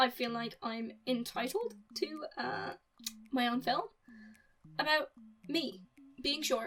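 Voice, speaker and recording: Over music in the background, a woman speaks at a high pitch with lively intonation. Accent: Irish. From Republic of Ireland. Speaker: YouTuber film reviewer. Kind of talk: casual film review monologue. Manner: animated, casual with fillers.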